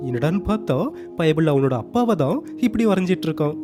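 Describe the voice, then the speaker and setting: A man's lively intonation over music in the background. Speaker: narrator. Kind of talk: cartoon story recap narration. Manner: casual, conversational.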